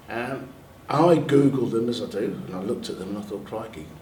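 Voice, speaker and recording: A man at medium pitch with a London accent, moderate pace and audible room echo. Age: 60s. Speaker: NHS staff member and army veteran. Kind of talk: panel talk sharing personal experience.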